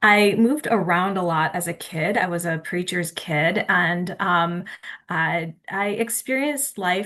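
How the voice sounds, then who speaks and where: A woman talks with an American accent and vocal fry. Her pace is fairly slow. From US Midwest. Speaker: theology professor. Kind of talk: webinar presentation. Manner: halting, many fillers.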